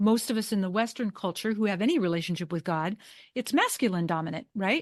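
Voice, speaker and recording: A woman with a medium pitch speaks at a very fast pace with ordinary pitch variation. The sound is dry and close with no echo, over a quiet background. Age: 60s. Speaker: Chinese medicine practitioner and author. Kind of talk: interview. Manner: halting.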